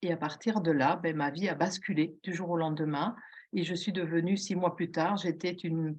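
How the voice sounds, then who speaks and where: The speaker is a woman with a fairly low pitch. She talks at a fairly slow pace with fairly even intonation. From southern Belgium. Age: 60s. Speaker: retired police officer, patient giving testimony. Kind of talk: testimony. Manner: hesitant, many fillers.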